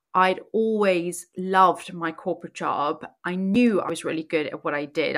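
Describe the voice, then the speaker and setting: Speaking in a South African accent, a woman keeps a moderate pace and fairly even intonation at a fairly low pitch. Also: hardly any pauses. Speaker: podcast host and life coach. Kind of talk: personal storytelling monologue.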